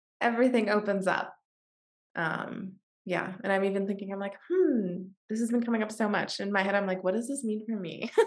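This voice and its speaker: Her voice is an unremarkable speaking voice, a woman with an American accent talking at a fairly quick pace, medium pitch, and fairly even intonation. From US Pacific Northwest, Washington State. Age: 20s. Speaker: podcast host. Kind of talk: podcast interview.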